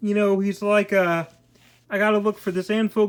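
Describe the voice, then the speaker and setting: A woman speaks at a medium pitch in a monotone, flat intonation on a very clean recording with a silent background. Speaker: comic book reviewer. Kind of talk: casual review talk. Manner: hesitant, repetitive.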